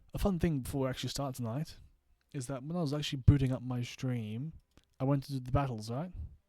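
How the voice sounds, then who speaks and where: In an Australian accent, a man speaks at a very fast pace in a medium pitch. His tone is dark and mellow, and his intonation fairly even. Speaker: gaming streamer. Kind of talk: casual live stream chat. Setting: home streaming setup at night.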